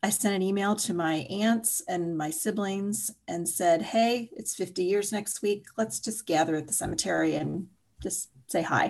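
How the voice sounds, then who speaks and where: The speaker has a normal speaking voice with ordinary pitch variation. The pace is fairly slow. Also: woman, medium pitch for a woman. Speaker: writer and energy healer. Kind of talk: personal testimony in interview.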